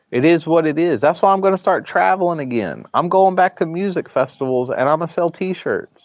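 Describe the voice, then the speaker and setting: A man with a strong Southern US accent talks at a high pitch with ordinary pitch variation. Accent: Southern US, thick. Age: 30s. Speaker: live streamer. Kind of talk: casual live stream chat. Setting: hospital, streaming from phone. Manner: halting, repeats words.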